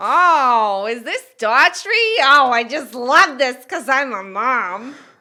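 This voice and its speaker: A high-pitched, put-on character voice moves at a fairly slow pace in a very clean recording with a silent background. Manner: gushing, cheerful.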